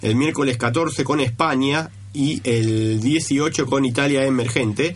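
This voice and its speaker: Noticeable background noise and audible room echo surround a man speaking at a medium pitch with ordinary pitch variation. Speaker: radio co-host. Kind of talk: radio sports show. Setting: radio studio.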